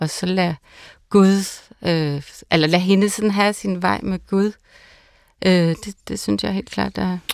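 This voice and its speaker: A woman speaks very slowly at a medium pitch, with long, frequent pauses. Her intonation is fairly even. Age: 40s. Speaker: pastor. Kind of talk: casual chat. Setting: studio.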